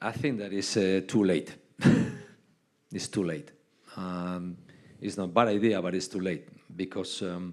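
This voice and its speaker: A man with a Spanish accent speaks in a very deep, low pitch with fairly even intonation. His pace is fairly slow, with long, frequent pauses. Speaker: basketball head coach. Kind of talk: on-stage interview. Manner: halting.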